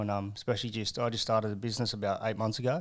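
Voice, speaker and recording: This man speaks at medium pitch in an Australian accent. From Newcastle, New South Wales, Australia. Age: 30s. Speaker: recovering addict sharing his story. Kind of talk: testimony. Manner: casual, swears a lot.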